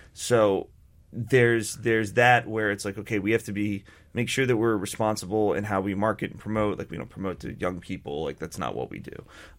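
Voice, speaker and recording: On a very clean recording with a silent background, a man speaks fairly quickly in an ordinary speaking voice, fairly low in pitch with ordinary pitch variation. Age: 30s. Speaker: beer company co-founder. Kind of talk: radio interview. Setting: radio studio.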